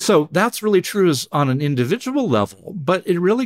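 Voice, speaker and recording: A man with an American accent talks at a moderate pace, his pitch swinging very widely. The recording is very clean with a silent background, dry and close with no echo. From US West Coast. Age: 60s. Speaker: neuroscientist. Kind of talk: interview.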